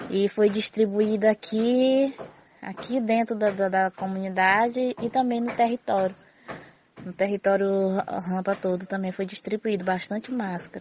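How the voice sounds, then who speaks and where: A woman with a medium pitch speaks at a fairly slow pace with fairly even intonation. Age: 40s. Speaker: community leader. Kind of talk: testimony. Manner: halting.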